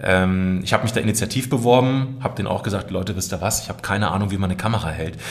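Very fast talk from a man, noticeable background noise behind him. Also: fairly low pitch for a man, ordinary pitch variation, hardly any pauses. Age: 30s. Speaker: voice artist and video creator. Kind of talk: casual interview chat. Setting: studio.

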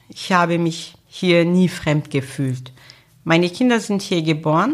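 Speaking at a very slow pace, a woman talks with a Turkish accent. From Turkey. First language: Turkish (speaking German). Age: 50s. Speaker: social worker, association founder. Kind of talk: interview. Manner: hesitant with filler sounds.

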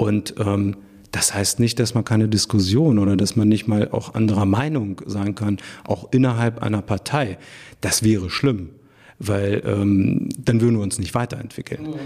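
In a dark, mellow tone, a man talks fairly slowly at a fairly low pitch with ordinary pitch variation. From Germany, Hanover. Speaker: mayor. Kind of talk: interview.

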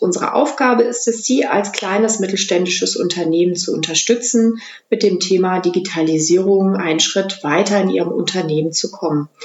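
A woman talks at a moderate pace and a medium pitch with ordinary pitch variation. Hers is an ordinary speaking voice. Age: 40s. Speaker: head of a business digitalization center. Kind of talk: interview.

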